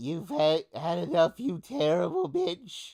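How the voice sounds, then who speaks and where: A man uses a put-on character voice, pitched high for a man, at a fairly slow pace. The recording is very clean, with a silent background. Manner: menacing, scolding.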